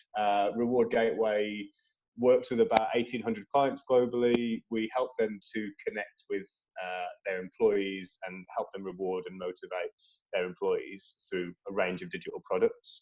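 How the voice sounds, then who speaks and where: A man talks with a slight Midlands accent, his loudness swinging a lot. The sound is dry and close, with no echo. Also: moderate pace. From English Midlands, Tamworth. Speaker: social impact lead at a tech company. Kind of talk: casual interview. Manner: hesitant, many fillers.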